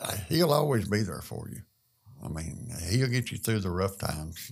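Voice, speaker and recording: In a Southern US accent, a man speaks with a fairly low, somewhat breathy voice. His pitch swings very widely. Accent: US South. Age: 60s. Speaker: construction worker. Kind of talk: testimony.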